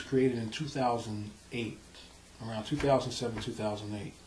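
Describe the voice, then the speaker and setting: A man with a New York accent. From South Bronx, New York. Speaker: nonprofit president. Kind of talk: interview answer.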